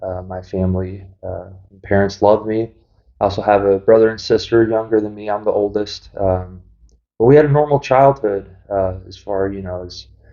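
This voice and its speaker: At a moderate pace, a man with an American accent talks at a fairly low pitch with fairly even intonation and big swings in loudness. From US Midwest, St. Louis area, Missouri. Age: 20s. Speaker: person in addiction recovery. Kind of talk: personal testimony. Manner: hesitant, many fillers.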